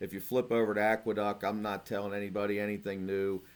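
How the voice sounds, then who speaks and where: A man talks with a voice pitched fairly low. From Cincinnati, Ohio. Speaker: horse racing handicapper. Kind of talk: betting picks video. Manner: casual, conversational.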